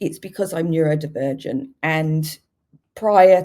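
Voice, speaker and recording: A woman talks at a fairly slow pace in a very deep, low voice with ordinary pitch variation. Her tone is dark and mellow. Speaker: HR director and neurodiversity coach. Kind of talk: webinar talk. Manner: halting.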